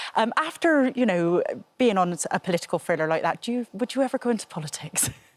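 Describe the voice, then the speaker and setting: A woman speaks with a Bristolian accent and lively intonation. The sound is dry and close with no echo, on a very clean recording with a silent background. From Bristol, southwest England. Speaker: TV presenter. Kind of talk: TV interview.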